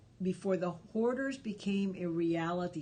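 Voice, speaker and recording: A woman speaks at a fairly low pitch with a slight Spanish accent. Her pitch varies in an ordinary way. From Cuba. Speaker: live stream host. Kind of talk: casual live stream chat. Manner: conversational, many fillers.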